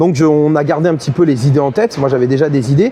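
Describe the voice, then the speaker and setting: Talking at a very fast pace in a southern French accent, a man is heard over noticeable background noise. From southern France, Montpellier. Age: 30s. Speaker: esports caster and host. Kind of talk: interview. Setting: on site at esports event. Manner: halting, many fillers.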